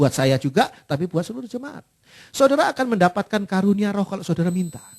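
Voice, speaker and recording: This is a man talking. His voice sounds dry and close, without any echo. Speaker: pastor. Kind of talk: sermon. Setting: church. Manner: fluent.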